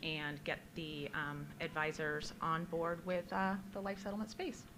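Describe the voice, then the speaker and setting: A woman speaks loudly at a fairly slow pace and fairly low pitch. Her tone is bright and sharp, and the room echo is audible. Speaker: media account director. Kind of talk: conference panel discussion. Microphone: holding microphone far away.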